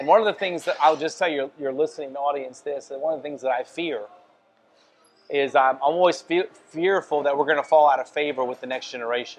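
With a Louisiana accent, a man talks at a very fast pace and a fairly high pitch, using ordinary pitch variation. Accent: Louisiana Southern. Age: 50s. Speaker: family business owner. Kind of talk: casual chat. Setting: restaurant.

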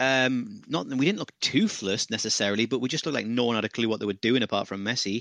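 Against a quiet background, a man speaks at a very fast pace with hardly any pauses, the sound dry and close with no echo. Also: medium pitch for a man, ordinary pitch variation. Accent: British. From UK. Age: 30s. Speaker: football pundit. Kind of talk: casual chat.

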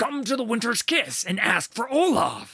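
Putting on a growling character voice at an extremely high pitch, a man speaks at a moderate pace. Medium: read story. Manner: blunt, boisterous.

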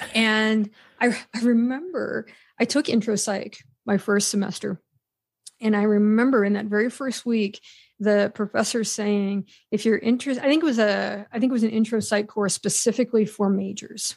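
A woman speaks with an American accent at a fairly high pitch and a moderate pace. Hers is a normal speaking voice with fairly even intonation. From western Pennsylvania. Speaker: psychology professor. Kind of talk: interview conversation.

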